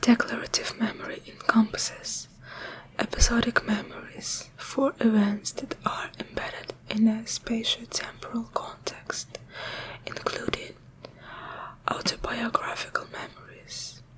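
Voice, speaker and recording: A woman whispers at a fairly slow pace with big swings in loudness, over noticeable background noise. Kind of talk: ASMR reading of a scientific article. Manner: whispered, soft-spoken.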